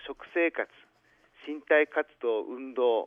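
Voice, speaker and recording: A man talks with ordinary pitch variation. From Hachinohe, Aomori, northern Japan. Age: 60s. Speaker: city mayor. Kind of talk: formal radio interview answers, partly read. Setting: phone call. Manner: formal.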